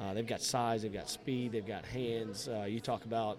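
A medium-pitched male voice is heard with noticeable noise in the background. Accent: South Georgia. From South Georgia (Valdosta, Lowndes County). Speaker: high school football coach. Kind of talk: casual interview.

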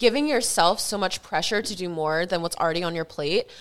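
Spoken at a very fast pace with an American accent, the voice has lively intonation. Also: woman. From Delaware, US. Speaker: esthetician and lash artist, podcast co-host. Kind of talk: casual chat.

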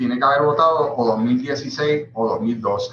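This man speaks with a Puerto Rican accent. His voice is fairly high, with ordinary pitch variation. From Puerto Rico. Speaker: party electoral commissioner. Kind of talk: panel interview on video call.

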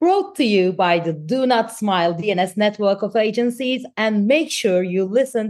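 This woman speaks at a moderate pace in a normal speaking voice, with ordinary pitch variation. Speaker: podcast co-host. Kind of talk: interview.

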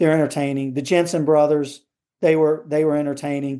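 A man with an American accent has a fairly high voice. His tone is dark and mellow, and the background is quiet. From US South. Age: 50s. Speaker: tennis coach. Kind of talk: interview conversation.

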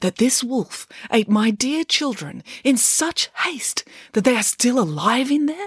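A woman puts on a character voice at a fairly high pitch, with a husky, rough edge. She moves at a fairly slow pace with big pitch swings, and the sound is dry and close with no echo.

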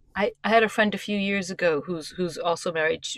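With a New York accent, a woman speaks at a medium pitch and a moderate pace with lively intonation. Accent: New York American. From US, New York. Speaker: writer and performance coach. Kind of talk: interview. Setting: on a boat. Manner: direct.

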